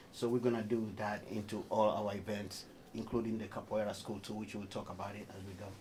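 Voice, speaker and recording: A man with a Tanzanian accent and a fairly low pitch speaks at a fairly quick pace in a monotone, flat way, his loudness swinging widely. The room echo is audible, and there is noticeable background noise. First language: Haya. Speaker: performing artist. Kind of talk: radio interview. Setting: radio studio.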